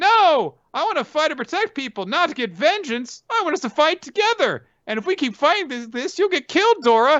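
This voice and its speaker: A put-on character voice with a high pitch races at a fairly quick pace, with very wide pitch swings and hardly any pauses. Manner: earnest, pleading, impassioned.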